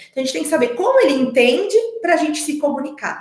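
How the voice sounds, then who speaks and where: A woman speaks in an animated tone with very wide pitch swings. Room echo is audible. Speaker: speech therapist. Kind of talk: online talk for parents. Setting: online meeting. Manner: animated, varied intonation.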